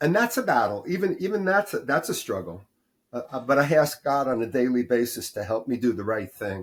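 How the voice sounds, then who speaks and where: Speaking fairly quickly with an American accent, a man with a medium pitch and a somewhat breathy voice swings his pitch very widely. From New York, US. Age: 70s. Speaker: retired doctor and life coach. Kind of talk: podcast interview.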